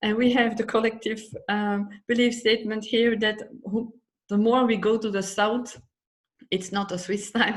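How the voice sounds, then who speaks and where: Her voice is fairly high and somewhat breathy, with a Dutch accent, monotone, flat intonation and a moderate pace. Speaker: psychology method instructor. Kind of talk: personal talk in live stream. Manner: halting.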